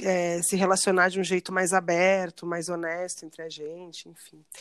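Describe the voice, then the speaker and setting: This woman speaks at medium pitch and a moderate pace. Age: 30s. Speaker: educator. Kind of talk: casual chat.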